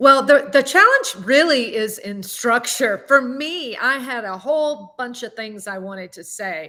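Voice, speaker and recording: A woman's high, bright, sharp voice in a Southern US accent, at a fairly slow pace with lively intonation, big swings in loudness and hardly any pauses. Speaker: singer and public speaking coach. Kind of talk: interview.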